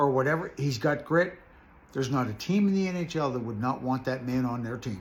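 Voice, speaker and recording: Here a man talks at a fairly quick pace with lively intonation. His voice is medium in pitch and somewhat breathy. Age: 60s. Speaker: hockey fan, former minor league referee. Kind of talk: casual chat. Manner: animated.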